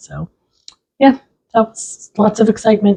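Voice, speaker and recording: Using a normal speaking voice, a woman talks at a moderate pace with fairly high pitch. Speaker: podcast co-host. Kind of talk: casual chat.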